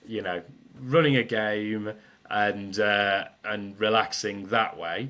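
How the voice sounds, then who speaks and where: A man speaks with a British accent at a medium pitch. His pace is fairly slow. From Britain. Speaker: sales trainer. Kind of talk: podcast interview. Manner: loud.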